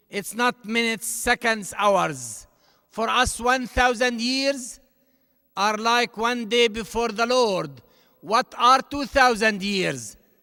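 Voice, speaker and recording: Speaking in an Arabic accent, a man uses an extremely high pitch, ordinary pitch variation, and a raised, projected voice with a bright, sharp tone at a very slow pace. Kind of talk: commencement address.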